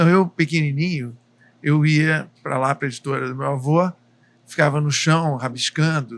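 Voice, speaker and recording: In a plain, everyday voice, a man talks at a moderate pace, fairly high in pitch with fairly even intonation. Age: 60s. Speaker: book publisher. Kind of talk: podcast interview. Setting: restaurant, live cooking podcast.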